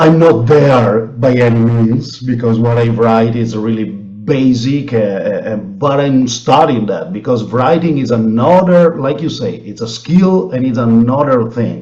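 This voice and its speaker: Fairly slow speech in an Italian accent, with hardly any pauses, ordinary pitch variation and noticeable background noise. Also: man, medium pitch for a man. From Italy. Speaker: blues musician. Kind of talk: interview. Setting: video call.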